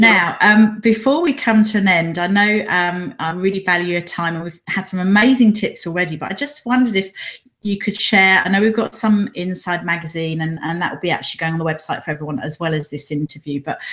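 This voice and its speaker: This is a normal speaking voice with ordinary pitch variation. It moves at a fairly quick pace with hardly any pauses. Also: woman, medium pitch for a woman. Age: 40s. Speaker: interviewer. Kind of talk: interview.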